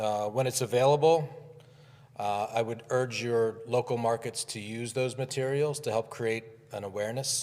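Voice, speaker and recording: A man talks at a medium pitch in a normal speaking voice. His intonation is fairly even and his pace moderate. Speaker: advertising club leader and commercial producer. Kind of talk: conference speech. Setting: conference with live and virtual audience.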